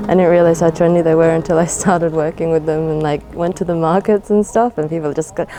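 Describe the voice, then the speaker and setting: Music plays in the background as a woman with an Australian accent talks at a fairly low pitch. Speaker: terrarium maker. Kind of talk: casual documentary interview.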